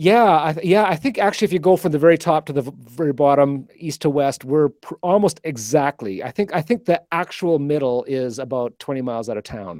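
In an unremarkable speaking voice with a Canadian accent, a fairly high-pitched man talks at a fairly quick pace with lively intonation and hardly any pauses, the sound dry and close with no echo. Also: very clean recording, silent background. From Canada (Alberta). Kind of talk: casual interview.

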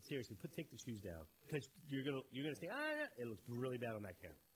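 Somewhat breathy, a man speaks in an animated tone with lively intonation. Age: 50s. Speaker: podcast co-host. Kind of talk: casual chat.

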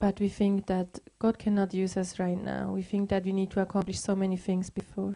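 A woman talks at a fairly slow pace with hardly any pauses. Her medium-pitched voice stays monotone and flat. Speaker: interpreter. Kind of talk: consecutive interpreting of a sermon into English. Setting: church.

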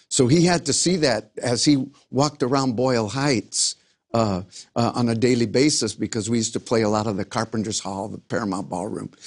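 A man's plain, everyday voice, medium in pitch with ordinary pitch variation, at a fairly quick pace over a quiet background. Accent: American. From Los Angeles, US. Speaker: pastor and former singer. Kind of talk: interview testimony.

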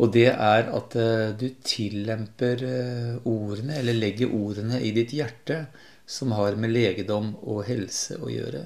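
A man with a normal speaking voice talks at medium pitch. His pace is fairly slow and his intonation fairly even. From Lillehammer, eastern Norway. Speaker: nature programme presenter. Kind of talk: radio interview.

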